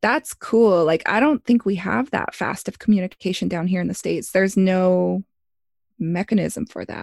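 A woman with an American accent is recorded very cleanly against a silent background, the sound dry and close with no echo. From Blackfoot territory, Montana and Alberta. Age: 30s. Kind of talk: casual chat.

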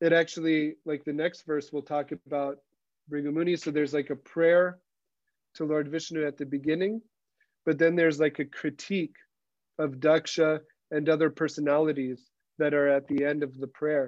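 A man speaks at a moderate pace in a flat monotone. Long, frequent pauses break up his speech. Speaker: scripture class teacher. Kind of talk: scripture class. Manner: halting.

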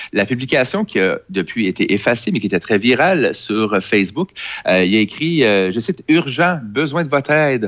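Very wide pitch swings at a moderate pace, with very even loudness and a Quebec accent. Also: man, medium pitch for a man. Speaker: tech columnist. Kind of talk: casual chat.

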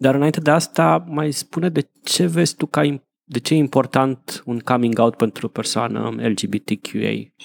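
An ordinary speaking voice from a man at a medium pitch moves at a fairly slow pace with lively intonation, in a dry, close sound with no echo. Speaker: podcast host. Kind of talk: casual chat.

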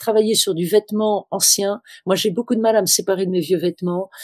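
The speech comes at a fairly quick pace. It sounds dry and close, with no echo. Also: woman. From Tunisia. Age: 60s. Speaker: fashion consultant. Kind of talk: interview. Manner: hesitant, many fillers.

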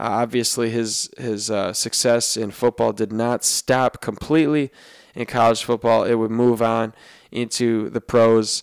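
The recording is very clean, with a silent background and a dry, close sound with no echo. A man speaks fairly slowly at a medium pitch in a monotone, flat way. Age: 30s. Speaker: podcast host and student switching careers into sports business. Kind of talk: solo podcast monologue. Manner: halting, many fillers.

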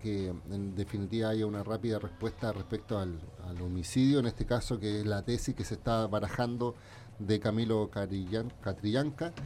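A man talks at a moderate pace with a fairly low pitch. His tone is dark and mellow, with ordinary pitch variation. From Chile, Valparaíso. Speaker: lawyer and former telecom official, tech commentator. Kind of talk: radio talk show commentary.

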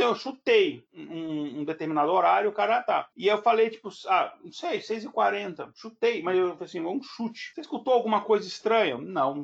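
Lively intonation and big swings in loudness mark this man's speech. He keeps a moderate pace with hardly any pauses. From Brazil, Brasília. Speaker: podcast host. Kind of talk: casual chat.

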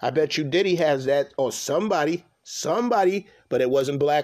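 Heard in a very clean recording with a silent background, a man speaks with a fairly high pitch and ordinary pitch variation. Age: 40s. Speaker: podcast host. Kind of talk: casual monologue. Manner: halting.

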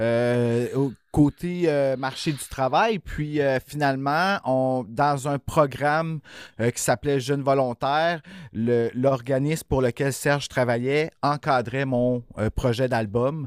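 A man speaks very slowly in a Quebec accent, his medium-pitched voice fairly even in intonation, on a very clean, silent-background recording with a dry, close sound and no echo. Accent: Québécois French. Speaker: horror podcast co-host. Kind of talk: casual chat.

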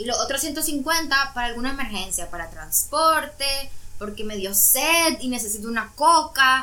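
A woman speaks at a high pitch and a fairly slow pace, her raised, projected voice full of lively intonation, with audible room echo and noticeable background noise. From Nicaragua. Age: 20s. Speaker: university student. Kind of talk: casual chat.

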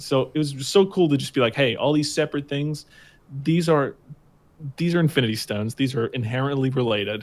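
This man has a plain, everyday voice, pitched fairly high, moving at a fairly quick pace with ordinary pitch variation. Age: 20s. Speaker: gaming podcast co-host and streamer. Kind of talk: casual chat. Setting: video call.

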